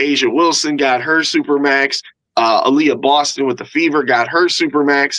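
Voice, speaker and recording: At a moderate pace, a man speaks in an animated tone with very even loudness. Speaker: sports podcast host. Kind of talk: casual chat.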